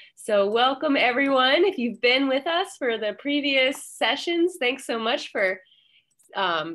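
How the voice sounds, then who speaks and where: Pitched high, a woman's voice moves at a fairly slow pace with lively intonation. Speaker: library manager, event organizer. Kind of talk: event moderation. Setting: video call. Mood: friendly, warm. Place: office. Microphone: headset.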